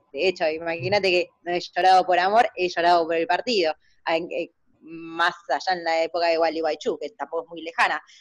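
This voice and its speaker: In a plain, everyday voice, a woman speaks at a fairly quick pace with a fairly low pitch and fairly even intonation, the sound dry and close with no echo. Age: 20s. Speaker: party activist. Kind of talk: casual chat.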